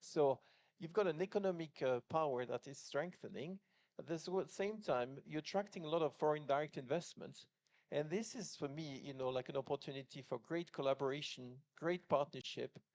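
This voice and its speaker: A man with a French accent talks fairly quickly at a fairly high pitch with ordinary pitch variation, in a dry, close sound with no echo. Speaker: business executive, panelist. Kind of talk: panel discussion. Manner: halting, many fillers.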